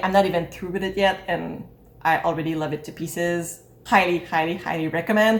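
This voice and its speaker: A woman with a Quebec accent talks at a very fast pace. Her pitch is fairly low. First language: French. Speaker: book YouTuber. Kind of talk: book review vlog.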